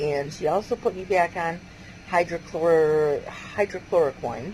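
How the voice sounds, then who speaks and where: There's noticeable background noise as a woman with a fairly low pitch talks with ordinary pitch variation. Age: 50s. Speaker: lupus patient vlogger. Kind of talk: personal video diary. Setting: bedroom at home. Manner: talking quietly; casual, rambling with fillers.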